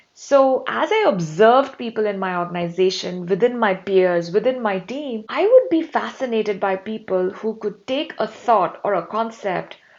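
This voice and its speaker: A woman's fairly high voice moves with lively intonation at a moderate pace, with noticeable noise behind her. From India. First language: not English (Indian language). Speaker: talent development leader and author. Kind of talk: interview.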